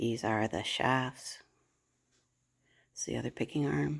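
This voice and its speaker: A woman at a fairly slow pace, her voice showing vocal fry. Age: 60s. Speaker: weaver and barn owner. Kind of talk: video tour. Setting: indoors in a barn workshop. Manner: casual, unhurried.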